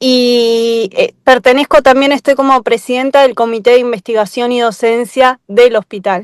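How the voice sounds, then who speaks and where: A woman's high voice at a moderate pace, with fairly even intonation, hardly any pauses and a dry, close sound with no echo. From Argentina, Chubut. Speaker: hospital health professional. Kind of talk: self-introduction in workshop. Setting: video call while travelling home.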